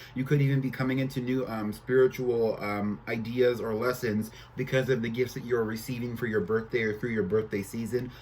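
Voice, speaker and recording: A man talks at a fairly quick pace with hardly any pauses. His intonation is flat and monotone, and there is noticeable background noise. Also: medium pitch for a man. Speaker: tarot reader. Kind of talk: tarot reading monologue. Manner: halting, filler-heavy.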